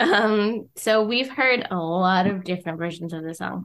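A woman speaks at a medium pitch with ordinary pitch variation in a normal speaking voice. The recording is very clean, with a silent background. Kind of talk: casual chat.

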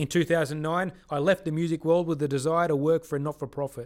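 This man has an Australian accent and a fairly high pitch. He talks very fast with fairly even intonation. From Sydney, Australia. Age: 30s. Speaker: podcast host, ministry worker. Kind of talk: personal storytelling narration. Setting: studio.

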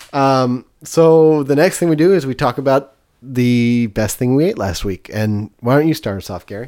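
A man with an American accent speaks in a plain, everyday voice at a moderate pace, his medium pitch moving with lively intonation over a very clean recording with a silent background. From US West Coast (East Bay, California). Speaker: food podcast host. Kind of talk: casual chat.

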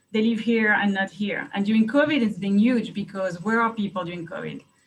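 Somewhat breathy, a woman speaks with a French accent and fairly even intonation. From France. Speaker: private investigator. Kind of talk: interview. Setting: video call.

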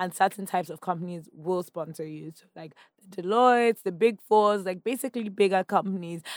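With a Nigerian accent, a woman talks using fairly even intonation. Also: dry, close sound with no echo. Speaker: founder of a women's media community. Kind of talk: casual interview. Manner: laughs often.

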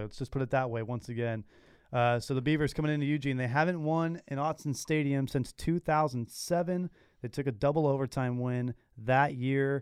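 Against a quiet background, a man with an unremarkable speaking voice talks at a fairly quick pace. His pitch is fairly high, with ordinary variation. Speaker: student radio sports host. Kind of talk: casual sports talk show banter. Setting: studio. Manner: conversational, relaxed.

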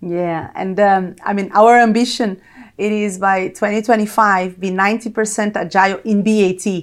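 In a Brazilian accent, a woman speaks at a medium pitch and moderate pace with fairly even intonation. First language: Portuguese. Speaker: corporate technology executive. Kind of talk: interview.

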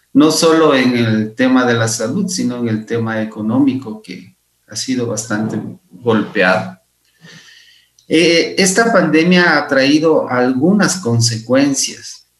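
Speaking very slowly, a medium-pitched man uses lively intonation in a room with audible echo. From Ecuador, Imbabura. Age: 50s. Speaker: physician and researcher. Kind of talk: interview.

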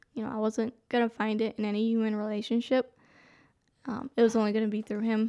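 A woman with a fairly high pitch and a dark, mellow tone talks very fast in a monotone, flat delivery. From Albania, raised in US. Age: young. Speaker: interview guest sharing life story. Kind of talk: testimony. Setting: studio.

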